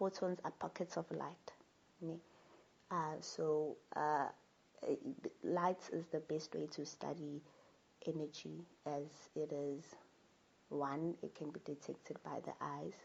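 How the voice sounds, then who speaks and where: Speaking at a very slow pace with long, frequent pauses, a woman uses a very deep, low pitch, vocal fry and monotone, flat intonation. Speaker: spiritual talk channel host. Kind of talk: spiritual monologue talk. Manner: halting, with fillers and repetitions.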